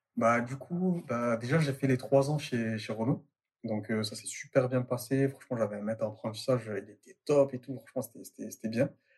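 A man's somewhat breathy, medium-pitched voice at a moderate pace, with big swings in loudness. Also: ordinary pitch variation. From Marseille, southern France. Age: 20s. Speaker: entrepreneur. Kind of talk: casual interview. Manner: halting, many fillers.

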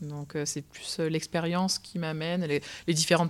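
A woman with a very deep, low pitch and fairly even intonation is heard in a very clean recording over a silent background. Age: 20s. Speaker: opera singer. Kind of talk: interview. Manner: halting.

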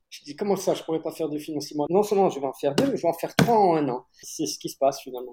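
A man speaks very fast with hardly any pauses, his pitch fairly high and his intonation lively. His tone is dark and mellow, and his loudness swings widely. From Corsica. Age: 50s. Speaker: actor, writer and film director. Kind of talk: casual interview.

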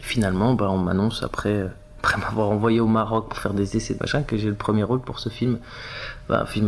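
Noticeable noise hums in the background. Over it, a man speaks fairly quickly. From southern France (Var), Tunisian family. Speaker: actor. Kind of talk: casual interview. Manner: animated.

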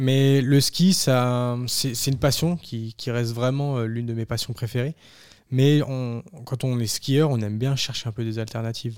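A man talks in an ordinary speaking voice at medium pitch, with fairly even intonation. The recording is very clean, with a silent background. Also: fairly slow pace. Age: 20s. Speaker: amateur high-altitude mountaineer, ski instructor and firefighter. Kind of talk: interview conversation.

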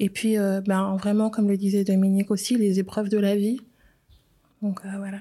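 The speaker's dark, mellow, somewhat breathy tone stays monotone and flat at a moderate pace, broken by long, frequent pauses. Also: woman, medium pitch for a woman. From Switzerland, Geneva. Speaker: communications professional. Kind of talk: testimony.

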